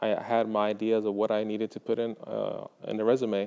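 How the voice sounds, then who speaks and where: A man speaks with a Spanish accent against a quiet background. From Mexico (Guadalajara), raised in Texas from age seven. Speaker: high school art teacher. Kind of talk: interview testimonial. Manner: hesitant, many fillers.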